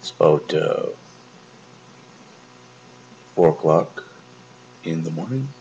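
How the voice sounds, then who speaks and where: A man speaks softly. There is light background noise. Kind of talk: late-night casual vlog chat. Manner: slow, drowsy, half-asleep murmur. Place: home room. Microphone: phone near.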